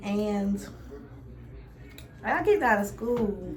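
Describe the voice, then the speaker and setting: A woman with a Louisiana accent, with audible room echo and noticeable background noise. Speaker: beauty vlogger. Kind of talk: casual chat.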